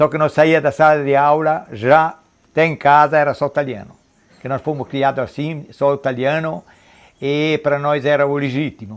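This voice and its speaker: With fairly even intonation and a moderate pace, a man speaks in a fairly high pitch against a quiet background. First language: Trentino Italian dialect (speaking Portuguese). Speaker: interviewee. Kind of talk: documentary interview.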